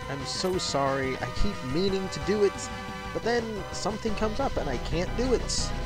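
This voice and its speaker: Clear music in the background, with a dry sound with no echo. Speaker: let's play gamer. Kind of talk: casual game commentary. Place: home room.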